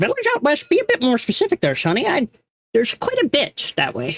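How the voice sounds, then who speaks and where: A woman puts on a character voice, pitched high and delivered at a fairly quick pace. The sound is dry and close, with no echo. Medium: actual play. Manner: fussy, grumbling.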